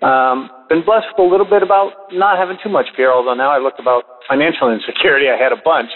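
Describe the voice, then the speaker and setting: A man speaks with an American accent, his pitch swinging very widely. Background noise is noticeable. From US South. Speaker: caller. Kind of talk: encouragement call. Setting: phone call. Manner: animated.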